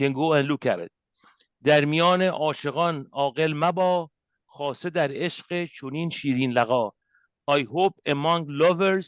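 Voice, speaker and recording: A man with an Iranian accent talks at a fairly high pitch with ordinary pitch variation. The sound is dry and close with no echo, over a quiet background. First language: Persian. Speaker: spiritual teacher. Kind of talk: lecture. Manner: halting.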